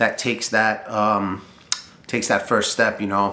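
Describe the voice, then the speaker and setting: A man's bright, sharp tone with audible room echo. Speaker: boiler mechanic and trades business owner. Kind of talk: casual talk to camera. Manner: fast; animated.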